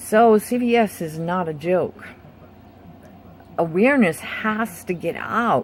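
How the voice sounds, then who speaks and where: A woman at a medium pitch, very slow pace and lively intonation, with long, frequent pauses amid noticeable background noise. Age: 60s. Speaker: patient vlogger with chronic illness. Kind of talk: personal testimony video. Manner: hesitant, with many fillers.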